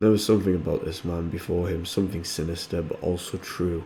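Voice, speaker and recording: Very deep and low, a man's voice sounds somewhat breathy with a dark, mellow tone. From North East England. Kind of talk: fantasy story reading. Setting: home recording, modest audio quality.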